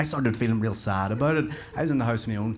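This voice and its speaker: Over noticeable background noise, a man with a Northern Irish accent talks very fast at a medium pitch with ordinary pitch variation. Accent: Northern Irish (Belfast). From Belfast, Northern Ireland. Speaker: stand-up comedian. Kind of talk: stand-up comedy performance.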